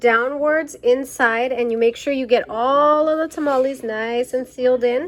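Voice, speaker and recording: The voice shows ordinary pitch variation, and noticeable background noise can be heard behind it. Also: woman. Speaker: cooking vlogger. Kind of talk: cooking tutorial. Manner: casual, animated.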